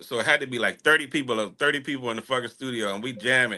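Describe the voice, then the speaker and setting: A man with a bright, sharp tone speaks at a medium pitch against a quiet background. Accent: strong rural Texas. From Texas, small town. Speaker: music artist. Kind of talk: casual interview chat. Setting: live online radio show.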